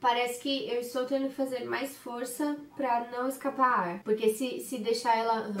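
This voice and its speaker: With noticeable background noise behind her, a woman with a high pitch talks at a moderate pace, with fairly even intonation and hardly any pauses. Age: 20s. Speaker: performing artist, singer and dancer. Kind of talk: video diary vlog narration. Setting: at home. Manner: casual, chatty.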